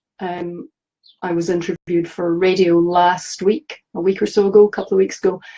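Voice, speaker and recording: Speaking at a fairly quick pace, a woman with a Scottish accent has a dark, mellow tone, medium pitch and fairly even intonation. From Scotland. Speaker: animal communicator. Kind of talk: live stream talk to viewers. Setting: live video stream. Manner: hesitant, many fillers.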